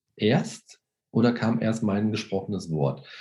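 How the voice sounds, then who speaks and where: The speaker is a man. His tone is dark and mellow. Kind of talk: interview. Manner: hesitant with many fillers.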